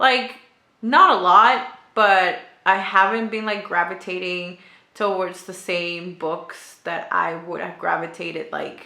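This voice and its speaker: With a non-native accent, a woman speaks at a fairly slow pace and fairly even intonation, her loudness swinging widely amid audible room echo. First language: not English. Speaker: booktuber. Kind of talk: casual vlog chat. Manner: hesitant, many fillers.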